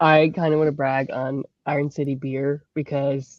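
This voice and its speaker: A woman with a slight Pittsburgh accent speaks in a very deep, low pitch. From Pittsburgh, Pennsylvania. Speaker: graphic designer. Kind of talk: casual panel chat.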